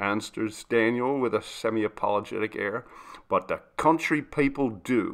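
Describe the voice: Ordinary pitch variation in plain reading aloud.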